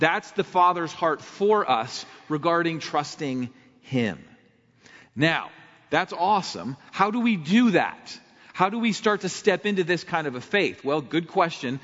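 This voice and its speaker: A man with a Midwestern American accent speaks at a high pitch and a fairly slow pace, his intonation lively. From Ohio, Akron area. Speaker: pastor. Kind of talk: sermon. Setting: church.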